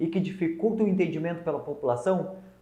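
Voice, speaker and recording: Audible room echo surrounds a man who talks at a fairly quick pace in a high pitch with ordinary pitch variation. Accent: southern Brazilian. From southern Brazil, Rio Grande do Sul (north coast). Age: 20s. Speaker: lawyer and legal adviser giving business talks. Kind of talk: online talk to small business owners.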